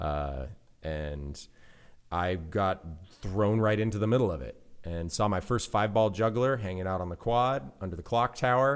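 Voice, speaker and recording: On a very clean recording with a silent background, a man with an American accent talks at a moderate pace in a fairly low pitch with lively intonation. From US West, California (Central Sierra mountains). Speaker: juggler and circus arts teacher. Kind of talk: casual interview chat. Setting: in person, at a county fair.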